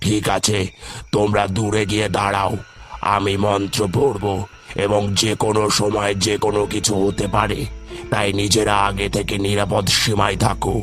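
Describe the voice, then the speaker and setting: A man's cartoonish character voice, fairly low and monotone with flat intonation, at a fairly slow pace and very even loudness, with clear music in the background. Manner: authoritative.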